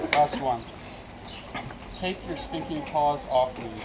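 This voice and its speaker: Speaking at a fairly slow pace, a man is heard through noticeable background noise. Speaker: archaeologist. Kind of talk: comedic dramatic movie-scene readings. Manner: soft-spoken.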